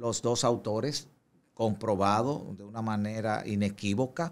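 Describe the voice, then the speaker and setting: At a fairly slow pace, a man speaks with a fairly low pitch. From Dominican Republic. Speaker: police spokesman. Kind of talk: interview. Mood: calm, formal, explanatory. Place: studio. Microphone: studio mic.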